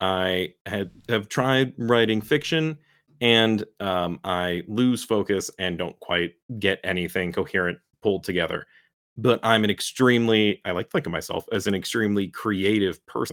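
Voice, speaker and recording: In an ordinary speaking voice, a man talks at a moderate pace with fairly low pitch and ordinary pitch variation. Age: 30s. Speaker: podcast co-host. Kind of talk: casual chat.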